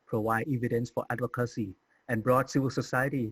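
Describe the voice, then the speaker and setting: A man with a medium-pitched, somewhat breathy voice talks in fairly even intonation, the sound dry and close with no echo. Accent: Thai. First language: Thai. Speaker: HIV community advocate. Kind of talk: conference presentation. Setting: recorded virtual conference talk. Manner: formal.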